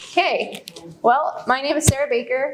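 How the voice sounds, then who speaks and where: Loud and at a moderate pace, a woman speaks with ordinary pitch variation amid noticeable background noise. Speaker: dog trainer. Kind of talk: public talk. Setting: library room with audience.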